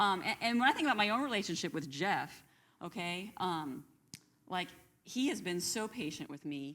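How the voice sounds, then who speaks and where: A loud, animated voice with a bright, sharp tone, very wide pitch swings and a moderate pace. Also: woman, medium pitch for a woman. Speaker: Bible class co-host. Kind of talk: Bible study discussion.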